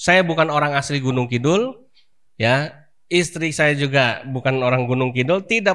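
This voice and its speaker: In a plain, everyday voice, a man with a fairly high pitch talks at a moderate pace with lively intonation, on a very clean recording with a silent background. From Jakarta, Indonesia. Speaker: Islamic preacher, boarding school founder. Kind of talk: religious talk to congregation. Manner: conversational, many fillers.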